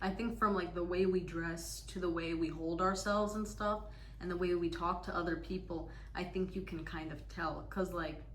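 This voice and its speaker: A woman talks at a moderate pace against noticeable background noise and audible room echo. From United States. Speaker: interviewer, daughter. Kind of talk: casual interview.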